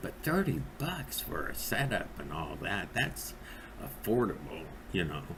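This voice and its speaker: Noticeable background noise and audible room echo surround a man with a very deep, low pitch and very wide pitch swings. He speaks at a fairly slow pace with long, frequent pauses. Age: 60s. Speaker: vape reviewer. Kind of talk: product review monologue. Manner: rambling with many fillers and hesitations.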